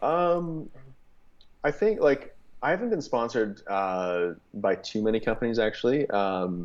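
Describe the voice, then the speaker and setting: A man with a Canadian accent at a medium pitch, fairly slow in pace, with very wide pitch swings. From Canada. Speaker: barbecue content creator. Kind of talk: casual chat. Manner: hesitant, many fillers.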